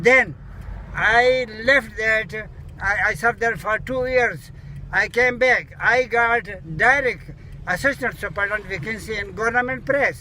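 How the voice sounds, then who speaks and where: Over noticeable background noise, a man with a Pakistani accent projects a raised voice at an extremely high pitch, moving at a moderate pace with ordinary pitch variation and long, frequent pauses. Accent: Pakistani (Pashto) English. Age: 80s+. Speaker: retired air force serviceman. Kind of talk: interview answer. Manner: jolly.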